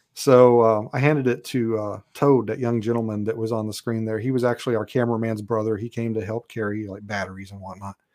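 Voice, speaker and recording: Against a quiet background, a man talks at a very fast pace in a medium pitch. His intonation is monotone and flat, with big swings in loudness. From Kentucky. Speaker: author and Bigfoot researcher, former police officer. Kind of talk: casual chat.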